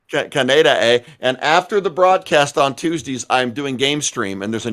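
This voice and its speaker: Here a man has a plain, everyday voice at medium pitch, speaking at a moderate pace with lively intonation on a very clean recording with a silent background. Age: 50s. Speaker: podcast co-host and gamer. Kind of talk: casual live-stream chat.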